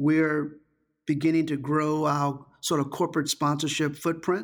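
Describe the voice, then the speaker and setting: Here a man with an unremarkable speaking voice talks at a moderate pace and a fairly high pitch. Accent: American. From Virginia, Richmond. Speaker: tourism executive. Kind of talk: interview.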